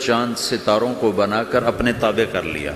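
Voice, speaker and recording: Music plays in the background as a man speaks at a medium pitch. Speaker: Islamic preacher. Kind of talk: Islamic sermon (bayan). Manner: calm, comforting, emotional.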